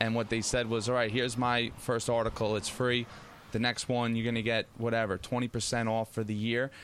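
A man with an American accent and a medium pitch speaks at a moderate pace with monotone, flat intonation and very even loudness. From Long Island, New York. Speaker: baseball news site founder and scout. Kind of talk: casual chat.

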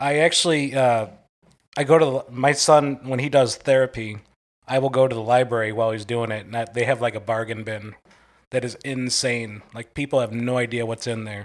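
A man in a plain, everyday voice speaks at a medium pitch and fairly quick pace with fairly even intonation, on a very clean recording with a silent background. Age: 30s. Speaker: podcast guest, contest winner. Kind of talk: casual chat.

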